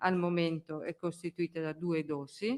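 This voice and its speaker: This woman's voice sits fairly low. She talks fairly slowly. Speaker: public health official. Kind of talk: press conference briefing. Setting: press conference room. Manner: hesitant, with fillers.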